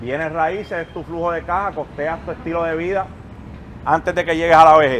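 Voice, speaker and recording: The man has a high voice and fairly even intonation. He talks at a moderate pace. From Puerto Rico, Canóvanas. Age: 30s. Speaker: motivational speaker and investor. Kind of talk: motivational talk to live audience. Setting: outdoor basketball court event with audience.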